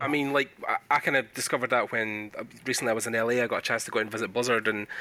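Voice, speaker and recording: A man with a Scottish accent at a very fast pace, monotone and flat, amid noticeable background noise. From Scotland. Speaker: podcast host. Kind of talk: casual interview. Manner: informal, filler-heavy.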